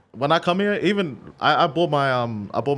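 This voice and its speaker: Fairly quick, lively speech in an Australian accent against a quiet background. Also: man. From Australia (Sydney). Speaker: DJ and remixer. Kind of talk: casual chat. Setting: studio.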